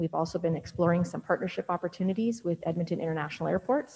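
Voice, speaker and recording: Somewhat breathy and dark, mellow in tone, a woman talks at a very fast pace in a fairly low pitch. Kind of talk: meeting report presentation. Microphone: video call.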